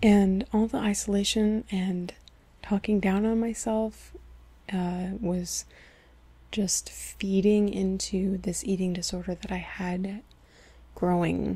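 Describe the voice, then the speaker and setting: Soft-spoken and somewhat breathy, a woman talks at a very slow pace in a medium pitch with a dark, mellow tone. Her intonation is monotone and flat, with long, frequent pauses. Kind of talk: personal storytime talk to camera.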